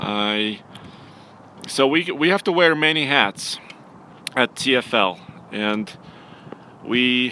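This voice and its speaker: With a Russian accent, a man speaks at a very slow pace with lively intonation and long, frequent pauses. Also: medium pitch for a man. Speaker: automotive journalist and producer. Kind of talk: live stream casual chat.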